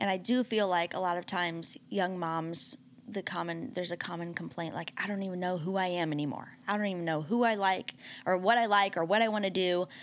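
Over a very clean recording, silent background, a woman speaks at a fairly quick pace in an unremarkable speaking voice, with medium pitch and ordinary pitch variation. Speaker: pastor's wife and panelist. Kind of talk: casual chat.

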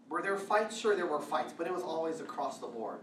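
Noticeable background noise behind a voice with an American accent. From Northern California (Vallejo). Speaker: pastor. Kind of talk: sermon.

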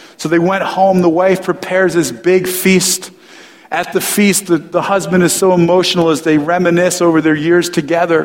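Over audible room echo, a man talks at a moderate pace in a high pitch with monotone, flat intonation. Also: very even loudness. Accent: American. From US Northeast, New Jersey. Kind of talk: sermon.

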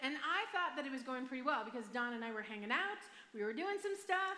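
A woman talks at a fairly quick pace in a raised, projected voice, her high pitch swinging very widely over noticeable background noise. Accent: American. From Michigan, US. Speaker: pastor. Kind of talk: sermon. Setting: church stage with audience.

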